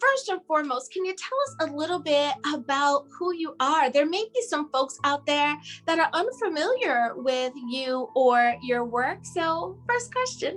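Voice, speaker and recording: Woman with an American accent, high-pitched with very wide pitch swings, music in the background. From US East Coast. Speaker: talk show host. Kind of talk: interview. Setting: video call.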